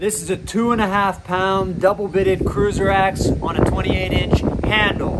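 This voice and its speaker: Speaking at a fairly slow pace, a man talks through loud background noise. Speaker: tool reviewer vlogger. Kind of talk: casual vlog chat. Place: street. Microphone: lapel.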